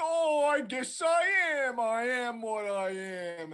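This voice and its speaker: A put-on character voice, fairly high in pitch, at a fairly slow pace. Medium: actual play. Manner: slow, dopey, "duh".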